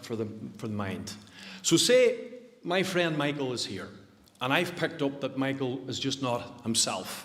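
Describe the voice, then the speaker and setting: A man with a Northern Irish accent speaks at a moderate pace in a fairly high voice, with audible room echo. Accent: Derry, Northern Irish. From Northern Ireland, County Derry. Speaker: suicide prevention speaker. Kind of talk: public talk. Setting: church hall stage with audience, livestreamed.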